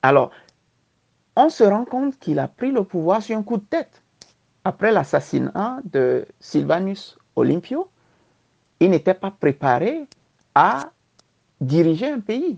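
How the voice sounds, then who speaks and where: Speaking at a very slow pace with long, frequent pauses, a woman uses very wide pitch swings and vocal fry in a dry, close sound with no echo. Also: medium pitch for a woman. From Togo. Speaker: diaspora political aspirant. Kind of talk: interview. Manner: halting.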